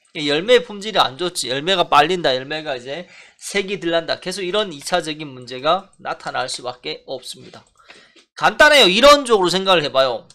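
Over a quiet background, a man with a high pitch talks at a moderate pace in a bright, sharp tone, his intonation lively and his loudness swinging widely. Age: 40s. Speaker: melon farming fertilizer consultant. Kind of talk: narrated photo review. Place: farm. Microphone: phone near.

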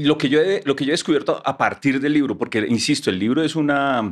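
With a fairly quick pace and lively intonation, a man is talking. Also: quiet background. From Colombia. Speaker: author. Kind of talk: casual chat. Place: studio. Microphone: studio mic.

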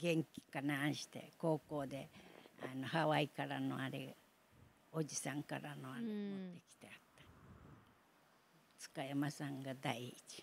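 In an Okinawan accent, the voice moves at a fairly slow pace with vocal fry, ordinary pitch variation, big swings in loudness, and long, frequent pauses. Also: woman, very deep, low pitch for a woman. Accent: Okinawan Japanese. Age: 80s+. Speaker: Battle of Okinawa survivor. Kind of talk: interview answer.

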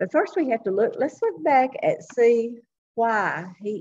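The woman's voice is somewhat breathy. She talks at a fairly slow pace. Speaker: Sunday school teacher. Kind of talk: Bible lesson teaching. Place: hall. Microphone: webcam.

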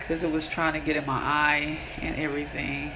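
A woman with a very deep, low voice is heard against noticeable background noise. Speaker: skincare vlogger. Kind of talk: casual vlog chat. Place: bathroom. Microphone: phone near.

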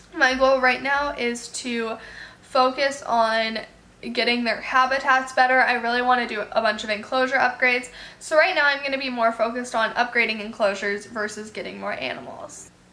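At a moderate pace, a woman with a high pitch speaks with fairly even intonation. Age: 18. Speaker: animal youtuber. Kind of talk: casual Q&A vlog. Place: home room.

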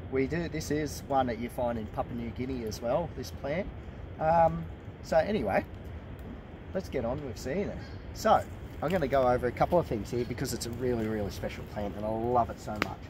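A man speaks at a fairly quick pace with lively intonation and a somewhat breathy voice. The sound is dry with no echo, though there is noticeable background noise. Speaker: presenter. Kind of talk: casual educational walk-and-talk. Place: forest. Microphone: camera far.

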